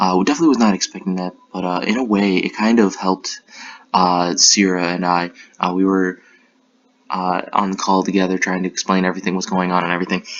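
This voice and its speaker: Quiet and very fast, a man speaks in a very deep, low voice with monotone, flat intonation. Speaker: Pokemon battle league commentator. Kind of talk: recap commentary. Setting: apartment room. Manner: quiet, keeping voice down.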